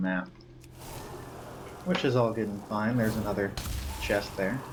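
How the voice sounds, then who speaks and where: A man with a fairly low pitch, a fairly quick pace and audible room echo. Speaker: gaming video creator. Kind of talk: gameplay commentary. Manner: monotone.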